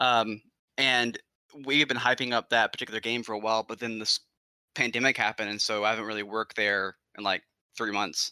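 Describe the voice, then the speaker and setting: A man's bright, sharp voice at medium pitch, fairly quick and monotone, flat in intonation, dry and close with no echo in a very clean recording with a silent background. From Alabama. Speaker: video game store employee. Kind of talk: casual chat.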